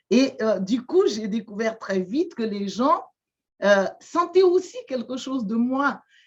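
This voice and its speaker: A woman with a Malagasy accent speaks at a very slow pace, her fairly high voice making very wide pitch swings. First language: Malagasy (speaking French). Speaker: shaman and therapist. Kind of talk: interview testimony. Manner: halting, many hesitations and repetitions.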